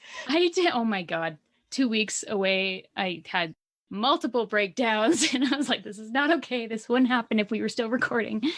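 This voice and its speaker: With a plain, everyday voice and a Canadian accent, a woman speaks at a moderate pace in a fairly high pitch, her intonation lively. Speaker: podcast co-host. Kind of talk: casual chat.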